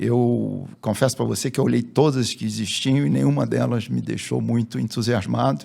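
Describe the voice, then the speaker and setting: Very deep, low male voice with vocal fry, a dark, mellow tone, very wide pitch swings, a moderate pace and hardly any pauses. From Rio de Janeiro, Brazil. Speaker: business executive. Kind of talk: interview.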